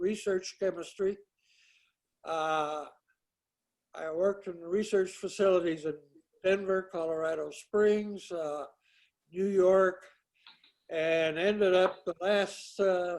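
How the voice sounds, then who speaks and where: Pitched high for a man, he speaks at a very slow pace in a monotone, flat intonation, with long, frequent pauses. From US Southwest, Santa Fe, New Mexico. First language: Greek. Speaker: retired research chemist. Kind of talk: casual chat. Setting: video call. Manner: halting, many filler words.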